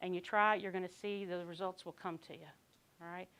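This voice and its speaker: With a Kentucky accent, a woman talks at a fairly quick pace. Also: very clean recording, silent background. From Kentucky, Lexington area. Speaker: conference speaker, quality control worker. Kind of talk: conference talk.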